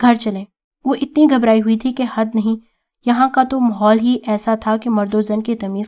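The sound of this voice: An unforced reading voice with fairly even intonation over a quiet background.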